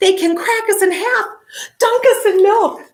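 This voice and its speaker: A woman performs a squeaky put-on character voice at an extremely high pitch. Her loudness stays very even at a moderate pace. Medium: read story.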